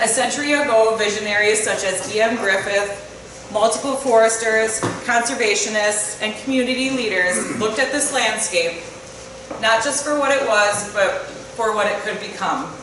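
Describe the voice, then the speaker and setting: Through noticeable background noise and audible room echo, a woman talks at a moderate pace in a fairly high pitch with fairly even intonation. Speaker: state forest manager. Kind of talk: welcome speech. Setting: conference hall with audience. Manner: loud.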